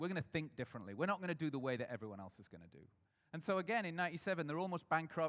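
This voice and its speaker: This is a man talking. His intonation is lively. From northern England, Sheffield. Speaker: brand strategist and agency founder. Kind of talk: talk to a live audience. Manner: hesitant, many fillers and restarts.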